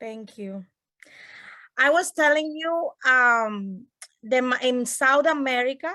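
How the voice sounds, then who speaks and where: A woman talks in a Colombian accent with a high pitch and a bright, sharp tone. She goes at a fairly slow pace over a quiet background. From Colombia, Barranquilla. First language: Spanish. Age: 30s. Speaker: family case manager. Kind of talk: personal heritage talk.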